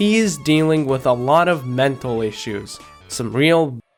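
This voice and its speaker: A man with a medium-pitched voice talks while music plays behind him. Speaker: video game commentator. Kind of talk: video essay narration.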